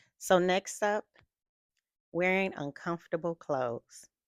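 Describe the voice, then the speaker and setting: Medium in pitch, a woman talks at a fairly slow pace with ordinary pitch variation. Her sound is dry and close, with no echo. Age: 50s. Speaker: lifestyle vlogger. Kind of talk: casual vlog talk to camera.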